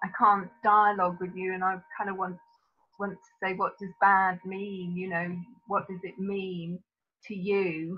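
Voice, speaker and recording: In a British accent, a woman speaks at a medium pitch and a fairly slow pace, with big swings in loudness. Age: 60s. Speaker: psychotherapist. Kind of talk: webinar Q&A.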